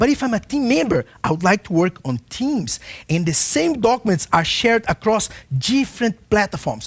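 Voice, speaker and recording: The voice moves in very wide pitch swings against a quiet background. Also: man, high pitch for a man. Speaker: software consultant giving product webinar; presenter. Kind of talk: webinar product presentation. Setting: online broadcast. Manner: fast. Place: studio. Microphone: headset.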